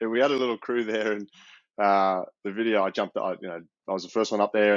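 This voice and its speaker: A man speaks very fast with an Australian accent. His intonation is monotone and flat. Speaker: professional rugby player. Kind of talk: casual interview.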